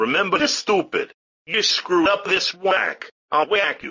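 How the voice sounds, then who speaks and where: A man puts on a gruff character voice, pitched high and moving at a moderate pace. His pitch swings very widely. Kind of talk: comic gangster sketch. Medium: comedy sketch. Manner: gruff, insulting, menacing.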